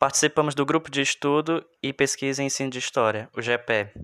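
Fairly high in pitch, a man talks in a normal speaking voice at a moderate pace with fairly even intonation. The recording is very clean, with a silent background. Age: 20s. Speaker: history graduate, podcast co-host. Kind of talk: podcast introduction. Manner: formal.

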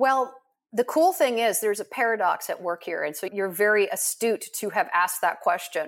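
At a moderate pace, a woman with a normal speaking voice talks at a fairly high pitch with lively intonation. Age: 50s. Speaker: life coach. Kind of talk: interview.

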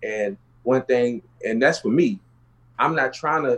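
A man with an American accent speaks in an ordinary speaking voice at a moderate pace, with a medium pitch and ordinary pitch variation. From Houston, Texas (South Park). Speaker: real estate entrepreneur, former drug dealer. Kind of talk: casual interview, life story.

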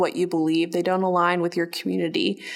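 A woman with an American accent has a normal speaking voice at medium pitch, talking at a fairly quick pace with fairly even intonation. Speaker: diversity and inclusion professional. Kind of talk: interview testimony.

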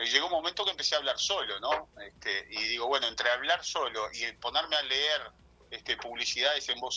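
Here a man talks at a fairly high pitch. His tone is bright and sharp. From Uruguay, Rocha. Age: 40s. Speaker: TV news reporter. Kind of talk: interview. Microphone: phone on speaker.

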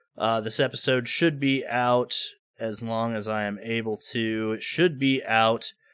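With an American accent, a man speaks at a fairly slow pace in a medium pitch, his bright, sharp tone and fairly even intonation captured on a very clean recording with a silent background. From United States. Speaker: gaming podcast co-host. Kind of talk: casual chat.

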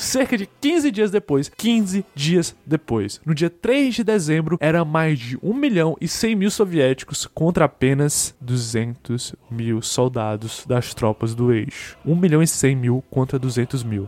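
A man talks at a very slow pace with hardly any pauses and a fairly high pitch. His pitch swings very widely, and the sound is dry and close with no echo. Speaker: history podcaster. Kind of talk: scripted narration. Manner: casual, conversational.

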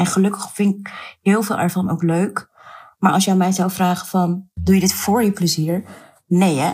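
The voice is somewhat breathy and holds a monotone, flat intonation. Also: woman, medium pitch for a woman, moderate pace. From Netherlands, Surinamese Hindustani family. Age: 30s. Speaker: activist and writer. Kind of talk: interview.

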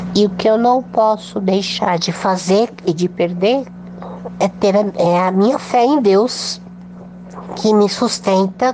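A woman at a very slow pace, medium in pitch with fairly even intonation, over noticeable background noise. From São Paulo state, Brazil. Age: 40s. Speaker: polio survivor and mouth painter. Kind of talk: interview testimony.

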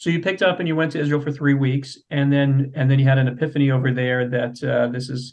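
A man speaks at a very fast pace with hardly any pauses. His pitch sits in the medium range. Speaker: podcast host. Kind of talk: interview. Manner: halting.

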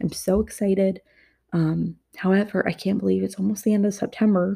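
A woman's somewhat breathy voice carries a dark, mellow tone and fairly even intonation. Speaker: podcast host. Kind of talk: casual chat. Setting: at home, dining table. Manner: rambling, scattered.

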